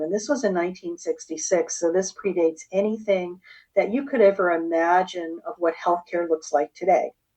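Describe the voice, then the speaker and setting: A woman's unremarkable speaking voice at a moderate pace, over a quiet background. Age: 60s. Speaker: holistic health practitioner. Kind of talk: interview.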